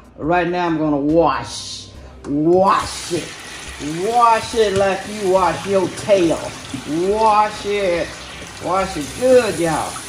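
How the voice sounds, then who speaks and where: A woman's very slow speech with long, frequent pauses and ordinary pitch variation, in audible room echo over light background noise. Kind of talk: casual cooking tutorial chat. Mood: playful, sassy. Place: kitchen. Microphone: phone near.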